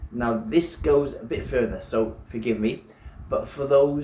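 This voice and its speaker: A man speaks at a fairly slow pace. Noticeable background noise runs under his voice. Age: 40s. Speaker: personal trainer and nutrition coach; preacher / lay sermon giver. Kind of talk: sermon / religious teaching to camera.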